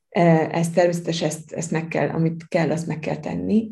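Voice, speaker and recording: A woman talks in a monotone, flat way. Her tone is dark and mellow and somewhat breathy. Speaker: law lecturer. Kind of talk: interview.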